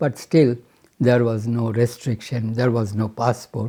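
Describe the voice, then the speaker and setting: Speaking with a Bengali accent, a man has a medium-pitched voice with a dark, mellow tone. He sounds somewhat breathy and talks in a flat monotone. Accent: Indian English, Bengali. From Bengal, India. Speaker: retired chemical engineer. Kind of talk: interview answer. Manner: hesitant, reflective.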